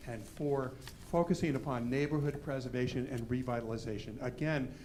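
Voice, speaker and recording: A man speaks with ordinary pitch variation. The room echo is audible. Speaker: historic preservation consultant. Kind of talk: public presentation to a commission. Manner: fast.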